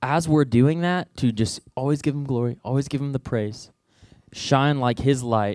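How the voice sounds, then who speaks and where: In an unremarkable speaking voice, a man talks at a medium pitch and moderate pace with ordinary pitch variation, the sound dry and close with no echo. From Southwest Missouri. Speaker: youth minister. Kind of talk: sermon. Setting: church.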